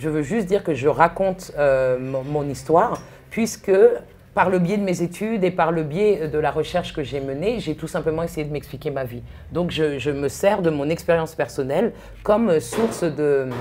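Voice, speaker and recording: Her pitch is very deep and low for a woman. She varies it in an ordinary way. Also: moderate pace. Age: 40s. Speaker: author and researcher. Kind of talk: talk interview. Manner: halting.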